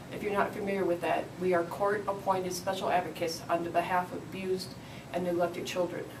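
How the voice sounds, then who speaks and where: Amid noticeable background noise and audible room echo, a woman with an American accent and medium pitch speaks at a fairly quick pace with monotone, flat intonation. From Michigan. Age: 50s. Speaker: city council candidate. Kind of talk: interview.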